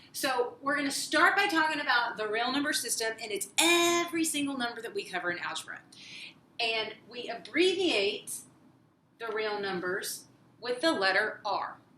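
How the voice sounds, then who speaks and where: A woman speaks at a high pitch with very wide pitch swings and a moderate pace. The room gives an audible echo. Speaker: math teacher. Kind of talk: lecture.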